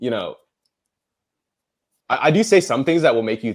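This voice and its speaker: With an American accent, a man talks fairly quickly. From United States (American-born Chinese). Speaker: podcast debater. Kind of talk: casual debate chat. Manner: filler-heavy, casual slang.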